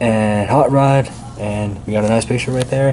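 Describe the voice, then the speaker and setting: A man speaks at a moderate pace with fairly even intonation. Noticeable background noise runs behind him. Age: 20s. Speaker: toy reviewer YouTuber. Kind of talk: product review. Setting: indoors, different location at night. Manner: quiet, lowered voice; casual, hesitant with fillers.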